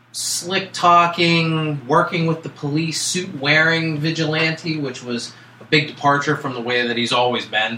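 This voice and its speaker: Over noticeable background noise, a man speaks at a fairly slow pace in a fairly high pitch with ordinary pitch variation. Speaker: podcast co-host. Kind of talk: casual podcast chat.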